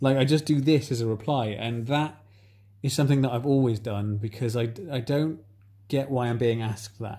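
A man with an English accent speaks at a moderate pace and medium pitch. His tone is dark, mellow and somewhat breathy. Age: 30s. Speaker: podcast host. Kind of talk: casual chat. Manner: animated.

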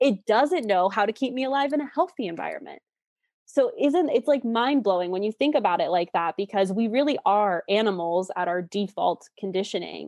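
With an unremarkable speaking voice, a woman talks at a fairly high pitch with lively intonation. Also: fairly quick pace. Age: 20s. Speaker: relationship coach. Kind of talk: interview.

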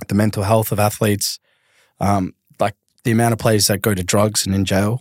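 A man with a fairly low pitch, talking at a fairly quick pace, in a very clean recording with a silent background and a dry, close sound with no echo. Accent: Australian. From Australia, southeast Melbourne. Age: 30s. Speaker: retired professional footballer. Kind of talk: casual chat.

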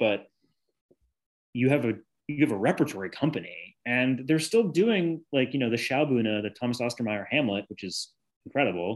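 At a moderate pace and medium pitch, a man with an American accent uses an ordinary speaking voice and lively intonation over a quiet background. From US Northeast (Newton, Massachusetts). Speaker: actor. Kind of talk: casual chat.

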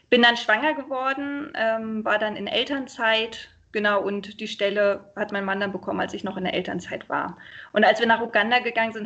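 A woman with an unremarkable speaking voice talks at a fairly quick pace, her pitch fairly high and its variation ordinary. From Berlin, Germany. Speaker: expat partner, mother. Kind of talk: interview, casual chat. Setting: internet call. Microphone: sometimes poor sound quality.

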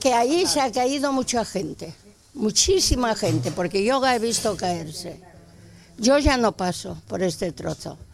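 The voice swings very widely in pitch. It moves at a fairly slow pace. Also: woman, fairly high pitch for a woman. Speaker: neighbourhood volunteer. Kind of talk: casual chat.

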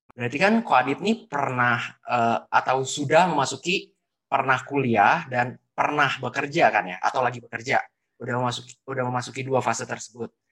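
With a bright, sharp tone and a medium pitch, a man speaks at a fairly quick pace with ordinary pitch variation. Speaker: student podcast host. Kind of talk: casual interview.

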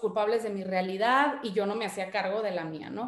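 This woman has an unremarkable speaking voice, fairly high in pitch, with ordinary pitch variation and a moderate pace. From Mexico, Guadalajara and Monterrey. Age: 30s. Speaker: podcast host and wellness coach. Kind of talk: personal testimony presentation. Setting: online live session.

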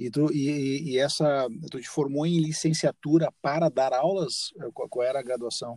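A man's fairly high-pitched voice with a dark, mellow tone, fairly even intonation and a fairly slow pace, in a dry, close sound with no echo. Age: 50s. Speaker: podcast host and musician. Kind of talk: casual interview chat.

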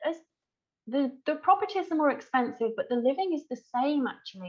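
Lively intonation marks this woman's speech. She has an English accent. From England. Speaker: wedding celebrant. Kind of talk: interview.

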